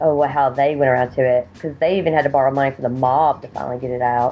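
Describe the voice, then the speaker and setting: A woman's very deep, low voice, very fast and fairly even in intonation, with music in the background. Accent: strong Southern US. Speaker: indie horror filmmaker. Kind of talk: casual chat.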